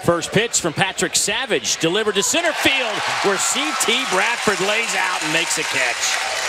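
Over crowd noise in the background, a man speaks high in pitch with lively intonation. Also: moderate pace, hardly any pauses. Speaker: baseball play-by-play announcer. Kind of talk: live sports commentary, highlight reel. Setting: stadium broadcast during rain and lightning delay. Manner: matter-of-fact, self-correcting.

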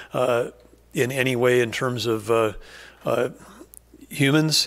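This man speaks at a fairly slow pace, his intonation fairly even. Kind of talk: press conference statement. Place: hall. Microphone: podium.

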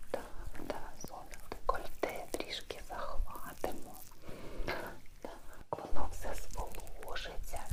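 Someone whispers in a soothing, gentle tone at a very slow pace. Long, frequent pauses break it up, and there is noticeable background noise. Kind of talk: ASMR role-play, massage spa session. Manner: soft, soothing, gentle.

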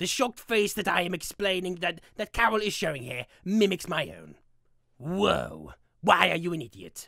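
Someone performs a put-on character voice at a middle pitch. The pace is moderate. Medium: role play. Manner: grumpy, sarcastic.

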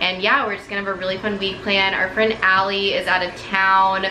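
A woman speaks at a fairly quick pace in a monotone, flat delivery. Audible room echo and light background noise surround her voice. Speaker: lifestyle vlogger. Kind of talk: casual vlog chat. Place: home room. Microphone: phone near.

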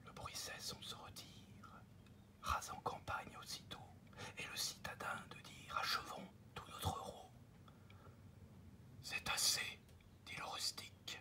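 A man whispers in a soothing tone at a very slow pace, with long, frequent pauses. His loudness shifts in big swings. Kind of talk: ASMR fable reading, improvised. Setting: recorded at a desk, home office. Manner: whispered, soothing.

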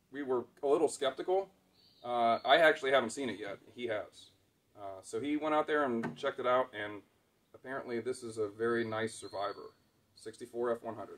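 This man speaks with long, frequent pauses. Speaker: channel host. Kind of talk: casual vlog chat. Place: open country. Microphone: camera far.

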